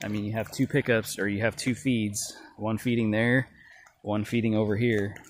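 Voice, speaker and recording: The recording is dry with no echo, and there is light background noise. The speech moves at a moderate pace. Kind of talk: casual vlog commentary. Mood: mildly critical, explanatory. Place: open country. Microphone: phone near.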